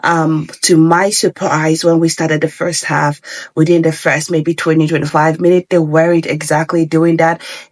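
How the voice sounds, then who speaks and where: Clear background noise sits beneath speech delivered at a medium tempo. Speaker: football pundit. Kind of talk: casual chat.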